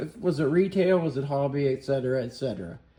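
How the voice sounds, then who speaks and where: Mumbling in an American accent, a man talks with a dark, mellow tone and ordinary pitch variation. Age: 50s. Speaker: YouTuber, car restorer and card collector. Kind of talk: casual rant to camera. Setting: garage.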